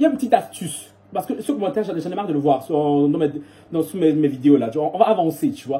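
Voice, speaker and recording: Noticeable background noise runs behind a man talking at a very fast pace. His pitch is fairly high and his intonation lively. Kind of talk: casual, vlogger-style. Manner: talking very fast.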